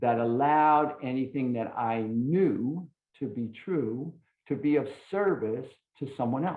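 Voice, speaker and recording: Using a plain, everyday voice, a man talks at a medium pitch, his pitch varying in an ordinary way. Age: 60s. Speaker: recovery speaker. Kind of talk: testimony.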